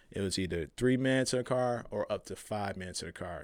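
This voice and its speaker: A man at a medium pitch and a fairly quick pace, with ordinary pitch variation, on a very clean recording with a silent background. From Chicago, west side. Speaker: activist and former prisoner. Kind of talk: interview.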